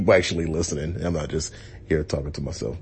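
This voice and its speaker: A man uses a put-on character voice that is raspy and very deep, with a low pitch. His intonation stays fairly even. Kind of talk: casual.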